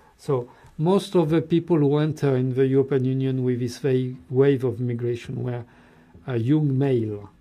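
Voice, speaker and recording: With a French accent, a man talks at a moderate pace in a medium pitch, his pitch varying in an ordinary way. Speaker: political commentator. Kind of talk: TV interview. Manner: halting.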